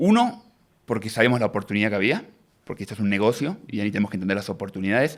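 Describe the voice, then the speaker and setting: Talking at a very fast pace, a man with an Argentine accent speaks at a fairly low pitch with ordinary pitch variation. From Argentina. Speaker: tech entrepreneur. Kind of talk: interview. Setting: studio.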